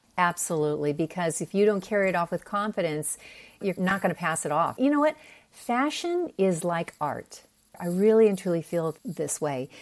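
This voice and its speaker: On a very clean recording with a silent background, a woman speaks in an American accent at a moderate pace, her tone animated and her intonation lively. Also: fairly low pitch for a woman. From Pennsylvania. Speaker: personal stylist. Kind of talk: interview.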